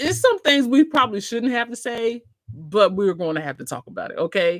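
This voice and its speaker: A loud, animated woman with a fairly high pitch, very wide pitch swings and a moderate pace, in a very clean recording with a silent background. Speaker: cruise vlogger and travel agent. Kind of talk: livestream chat reading comments.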